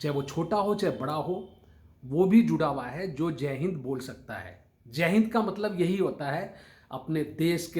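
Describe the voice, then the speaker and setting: A man with a fairly high pitch and ordinary pitch variation speaks amid audible room echo. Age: 60s. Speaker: motivational speaker. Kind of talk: motivational talk to camera. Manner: formal.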